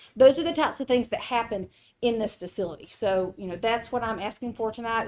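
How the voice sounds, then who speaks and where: Pitched fairly high, a woman speaks at a fairly quick pace with ordinary pitch variation on a very clean recording with a silent background. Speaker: agricultural center presenter. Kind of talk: funding presentation to county board. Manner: fast.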